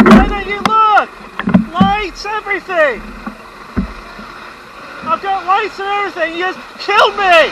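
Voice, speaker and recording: Shouting at a fairly slow pace with long, frequent pauses, the voice comes through over noticeable background noise. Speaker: cyclist. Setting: outdoors.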